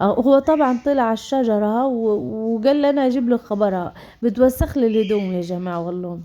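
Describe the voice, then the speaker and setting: A fairly high-pitched female voice, dark and mellow in tone. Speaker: vlogger. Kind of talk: casual vlog talk. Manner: halting, many fillers.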